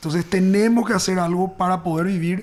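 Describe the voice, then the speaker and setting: A man is speaking. His pace is fairly quick. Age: 30s. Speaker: architect. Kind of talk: interview.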